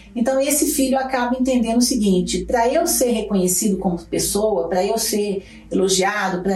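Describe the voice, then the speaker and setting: Audible echo from the room surrounds a woman as she talks. Noticeable noise sits in the background too. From Brazil, Belo Horizonte (Minas Gerais). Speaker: psychologist. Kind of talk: interview.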